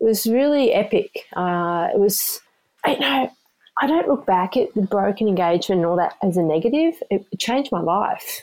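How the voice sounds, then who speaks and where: A woman with an Australian accent, medium pitch, lively intonation and a moderate pace. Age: 50s. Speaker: amateur ultrarunner. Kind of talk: storytelling interview. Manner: animated.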